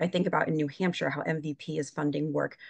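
With an American accent, a woman talks at a fairly quick pace in a very deep, low pitch with vocal fry, the sound dry with no echo against a quiet background. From New York state. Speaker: regional field director. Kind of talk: online briefing. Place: home room. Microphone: video call.

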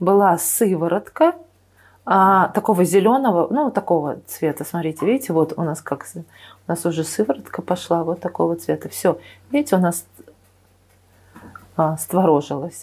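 Over a very clean, silent background, a woman speaks at a moderate pace and medium pitch, with lively intonation and long, frequent pauses. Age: 50s. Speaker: nutrition expert, cooking channel host. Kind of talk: cooking tutorial. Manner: hesitant, many filler sounds.

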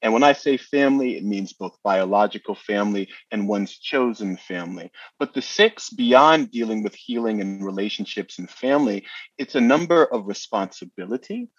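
A man with a New York accent talks at a moderate pace and medium pitch, using ordinary pitch variation. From New Jersey. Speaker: astrologer and numerologist. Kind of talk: interview explanation.

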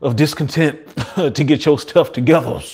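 The setting is quiet. A man talks, his pitch rising and falling in an ordinary way. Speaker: health coach host. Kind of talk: livestream talk to viewers. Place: home room. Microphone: webcam.

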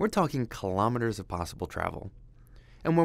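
With an ordinary speaking voice, a man talks at a fairly quick pace and a fairly low pitch with lively intonation, on a very clean recording with a silent background. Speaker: program manager leading a mine tour. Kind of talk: guided walking tour narration, pointing out features. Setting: underground mine tunnel, walking. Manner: measured, explanatory guide pointing things out as he walks; friendly, lightly self-deprecating aside.

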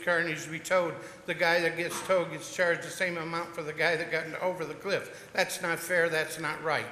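A man with a high voice talks at a fairly quick pace. There is audible room echo along with noticeable background noise. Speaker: towing company owner, public commenter. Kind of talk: public comment at council meeting. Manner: fast; impassioned.

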